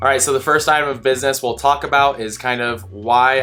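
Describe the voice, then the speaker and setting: Music plays in the background. Over it, a man talks at a fairly quick pace. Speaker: student pilot and flight instructor. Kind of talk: vlog monologue. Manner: monotone.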